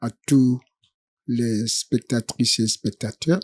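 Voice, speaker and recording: At a very slow pace, a man with a medium pitch and a dark, mellow tone talks with a Congolese accent in a dry, close sound with no echo. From DR Congo, Sankuru province. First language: Tetela (speaking French). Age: 70s. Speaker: Congolese political activist. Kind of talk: interview. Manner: hesitant, frequent fillers.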